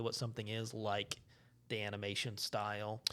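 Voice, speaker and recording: A man with a strong Southern US accent at a moderate pace, on a very clean recording with a silent background. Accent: heavy Southern US. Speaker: podcast host. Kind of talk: casual chat.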